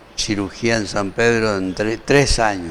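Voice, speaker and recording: Very slow speech from a man, medium in pitch. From Argentina, Formosa. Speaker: doctor, surgeon. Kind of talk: interview. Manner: lively.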